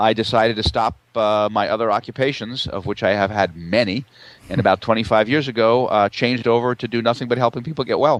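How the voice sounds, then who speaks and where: At a very fast pace, a man with a medium pitch talks with fairly even intonation. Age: 60s. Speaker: naturopath. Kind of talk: interview.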